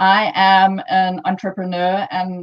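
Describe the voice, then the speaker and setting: This woman has a medium-pitched voice with a South African accent. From South Africa, Johannesburg. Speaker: entrepreneur, conference speaker. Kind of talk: conference talk. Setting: online live-streamed conference.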